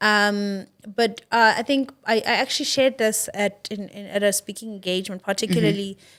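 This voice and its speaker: A woman talks at a fairly quick pace with big swings in loudness. Her intonation stays fairly even. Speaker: entrepreneur and author. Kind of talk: interview. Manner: hesitant, many fillers.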